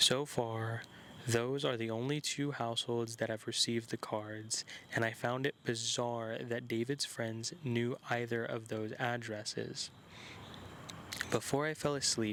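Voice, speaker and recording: Against noticeable background noise, a man talks at a fairly slow pace in a flat, monotone way. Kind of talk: horror story reading.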